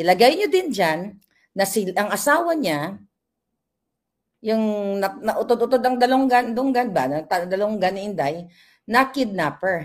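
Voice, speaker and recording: At a fairly slow pace, a woman speaks at a medium pitch in an animated tone with very wide pitch swings, in a very clean recording with a silent background. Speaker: vlogger / political commentator. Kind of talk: live vlog commentary.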